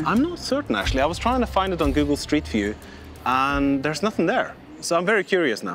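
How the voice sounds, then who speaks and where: Over music in the background, a man talks at a very fast pace, his pitch swinging very widely. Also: fairly high pitch for a man. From Norway. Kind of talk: reality TV talk to camera.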